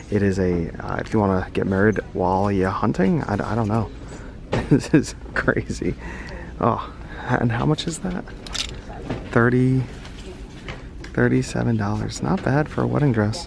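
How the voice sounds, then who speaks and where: Amid noticeable background noise, a man with a fairly low pitch talks at a moderate pace, his pitch swinging very widely, with long, frequent pauses. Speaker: thrift reseller youtuber. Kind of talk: casual vlog. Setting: inside a thrift store.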